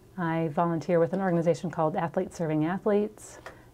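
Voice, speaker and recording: With a slight Minnesota accent, a woman talks at medium pitch. Her intonation is fairly even. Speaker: chamber of commerce membership manager. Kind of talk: interview.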